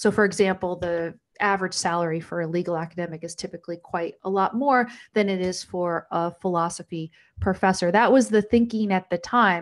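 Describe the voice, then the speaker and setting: Against a quiet background, a woman uses a normal speaking voice at medium pitch with fairly even intonation. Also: fairly quick pace. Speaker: talk show host and former law professor. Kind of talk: patron Q&A livestream. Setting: livestream.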